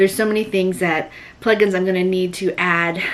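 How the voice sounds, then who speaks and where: Clearly audible background noise behind a woman's mid-range voice. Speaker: vlogger and small online shop owner. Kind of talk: casual vlog talk to camera. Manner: animated; fast.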